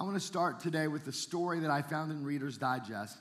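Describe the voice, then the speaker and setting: Audible room echo surrounds a man speaking at a moderate pace in a fairly high voice. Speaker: pastor. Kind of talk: sermon. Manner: casual, halting with fillers.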